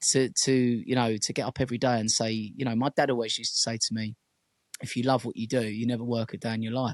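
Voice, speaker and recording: A man with a medium-pitched voice talks at a very fast pace. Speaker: DJ. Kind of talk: casual chat. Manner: loud and lively; animated.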